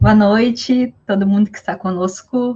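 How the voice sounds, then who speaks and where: Fairly slow, somewhat breathy speech from a woman. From southern Brazil (Rio Grande do Sul). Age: 20s. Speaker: psychologist. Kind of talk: casual interview. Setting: online live stream.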